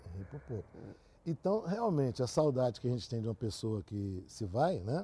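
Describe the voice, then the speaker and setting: Swinging very widely in pitch around a medium level, a man talks at a moderate pace in a somewhat breathy voice with a dark, mellow tone. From Brazil, Catalão, Goiás. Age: 60s. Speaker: engineer. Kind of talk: interview.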